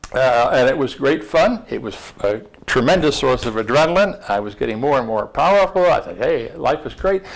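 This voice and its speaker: Over noticeable background noise, a man with an American accent and a fairly high pitch talks at a fairly quick pace with very wide pitch swings. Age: 70s. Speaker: former diplomat and author. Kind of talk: interview dialogue before an audience. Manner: halting, many repeated words.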